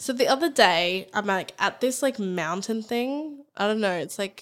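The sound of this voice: A woman speaks with lively intonation. Her tone is fairly bright. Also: medium pitch for a woman, fairly slow pace.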